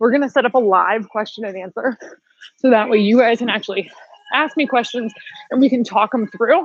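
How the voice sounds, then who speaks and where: With a dry, close sound and no echo, a woman talks at a fairly quick pace in a fairly high pitch with ordinary pitch variation. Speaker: fitness instructor. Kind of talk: live workout class instruction. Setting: home livestream workout. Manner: animated; loud.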